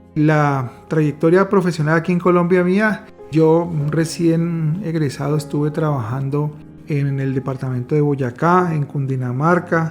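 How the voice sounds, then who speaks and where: With music in the background, a man talks at a fairly slow pace and fairly high pitch, showing ordinary pitch variation. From Colombia. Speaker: psychiatrist. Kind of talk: interview answer.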